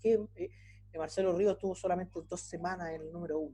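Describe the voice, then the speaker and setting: His voice high-pitched yet dark and mellow in tone, a man talks very fast with ordinary pitch variation. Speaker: university lecturer. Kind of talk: lecture.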